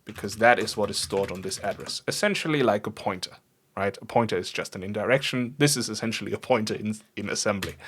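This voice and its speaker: Very fast pace, ordinary pitch variation, a non-native accent. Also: man, fairly low pitch for a man. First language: not English. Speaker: programming streamer. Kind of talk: live coding stream. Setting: livestream. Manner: casual, thinking aloud with fillers.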